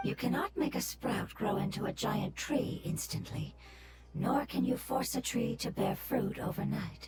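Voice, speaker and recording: A put-on character voice speaks in a calm, gentle tone at a moderate pace. Loud background noise runs underneath. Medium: video game. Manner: calm, gentle, measured.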